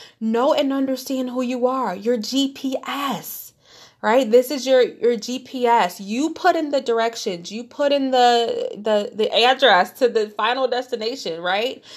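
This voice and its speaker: In a very clean recording with a silent background, a woman with a Detroit accent speaks in an animated tone at a high pitch, fairly slow yet with hardly any pauses, her pitch varying in an ordinary way. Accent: Midwestern American (Detroit). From Detroit, Michigan. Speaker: podcast host. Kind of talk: motivational monologue.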